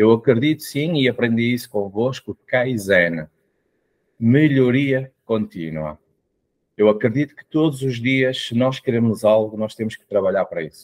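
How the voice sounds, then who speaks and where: A man with a European Portuguese accent speaks at medium pitch with ordinary pitch variation. His loudness swings widely over a quiet background. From Portugal. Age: 40s. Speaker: mentor and coach; podcast guest. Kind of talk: interview. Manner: hesitant, with fillers. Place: home room. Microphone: video call.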